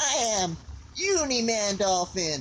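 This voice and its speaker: A man does a cartoonish character voice with a high pitch over clear background noise. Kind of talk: comic overacting. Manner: laid-back, bro-ish.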